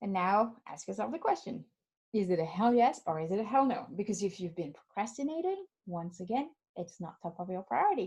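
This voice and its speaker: A woman's somewhat breathy voice with a French accent, at a fairly quick pace. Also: medium pitch for a woman, lively intonation. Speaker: life coach. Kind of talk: webinar. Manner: animated.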